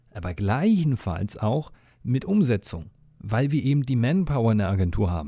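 A man speaks at a moderate pace in a somewhat breathy voice with very wide pitch swings. The recording is very clean, with a silent background. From eastern Germany. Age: 30s. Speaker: podcast host, agency owner and former rapper. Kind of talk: solo podcast monologue. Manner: casual, with many fillers.

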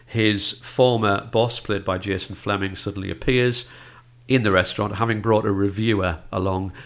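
An ordinary speaking voice, this man talks at a moderate pace with a fairly low pitch and fairly even intonation on a very clean recording with a silent background. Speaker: film critic. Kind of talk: casual chat.

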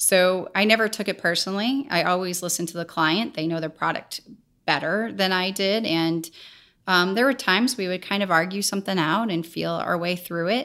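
In an American accent, a woman talks fairly quickly at a medium pitch with ordinary pitch variation. Her tone is bright and sharp, and the recording is very clean with a silent background. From US Midwest, St. Louis, Missouri. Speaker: filmmaker and foundation co-founder. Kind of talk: interview conversation.

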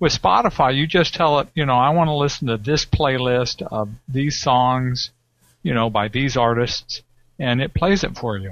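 Here is a man with a plain, everyday voice. His pitch is medium, with ordinary variation, and his pace is moderate. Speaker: tech show guest. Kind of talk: casual banter. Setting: video call.

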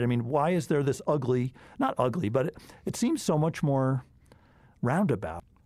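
Medium-pitched male voice, a normal speaking voice, with lively intonation and very even loudness. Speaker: podcast host, applied mathematician. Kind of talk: interview conversation. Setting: studio.

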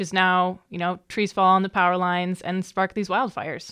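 An unremarkable speaking voice moves at a moderate pace over a quiet background. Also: woman. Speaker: communications specialist, interviewer. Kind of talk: casual conversational interview.

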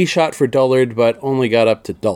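On a very clean recording with a silent background and a dry, close sound with no echo, a man with a plain, everyday voice talks at a fairly quick pace and medium pitch. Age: 50s. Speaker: TV review podcaster. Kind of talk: solo podcast review monologue; episode plot recap.

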